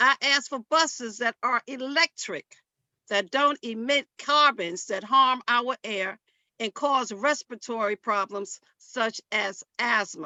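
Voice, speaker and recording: Speaking very slowly, a woman has an American accent. Her pitch is high. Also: ordinary pitch variation. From Harlem, New York. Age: old. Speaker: church women's group member. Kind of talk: public hearing testimony.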